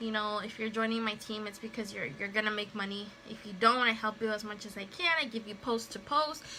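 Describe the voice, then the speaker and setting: With noticeable background noise behind her, a woman talks at a fairly quick pace and fairly high pitch, with hardly any pauses, big swings in loudness and ordinary pitch variation. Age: 30s. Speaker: makeup seller and stay-at-home mother. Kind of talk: casual livestream talk to camera. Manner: chatty, rambling.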